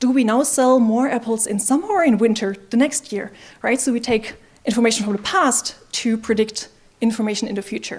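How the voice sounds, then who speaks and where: With a non-native accent, this speaker moves at a fairly quick pace and shows ordinary pitch variation. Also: woman, fairly high pitch for a woman. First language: not English. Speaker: machine learning engineer, conference speaker. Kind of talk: conference talk.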